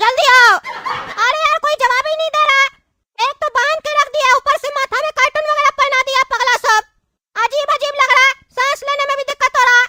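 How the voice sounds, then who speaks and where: A cartoonish character voice squeaks out at an extremely high pitch. It races at a very fast pace. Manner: blustering, rustic.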